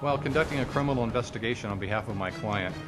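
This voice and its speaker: A man's medium-pitched voice at a very fast pace, ordinary pitch variation, music playing in the background. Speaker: private investigator; former police officer. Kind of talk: interview answer.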